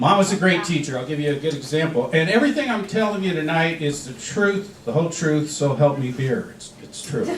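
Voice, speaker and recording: A man's fairly high voice at a fairly quick pace, with lively intonation, audible room echo and noticeable background noise. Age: 60s. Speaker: stand-up comedian. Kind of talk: stand-up.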